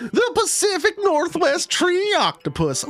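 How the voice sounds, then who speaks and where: A put-on character voice with an extremely high pitch at a fairly slow pace. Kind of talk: folksy.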